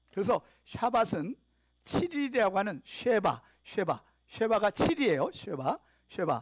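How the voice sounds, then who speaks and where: Speaking at a fairly slow pace with long, frequent pauses, a man uses a high pitch, very wide pitch swings and an animated tone, in a dry, close sound with no echo. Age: 60s. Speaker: pastor. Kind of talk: sermon.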